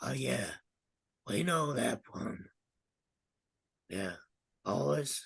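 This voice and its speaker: Putting on a raspy character voice, a man speaks very slowly in a fairly low pitch with very wide pitch swings and long, frequent pauses. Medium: actual play. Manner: cool, brief, condescending.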